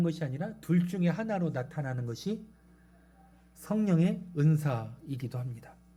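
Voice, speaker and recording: Amid audible room echo, a man with a fairly high pitch and a dark, mellow tone talks at a fairly slow pace with lively intonation. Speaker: pastor. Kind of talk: sermon. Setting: church.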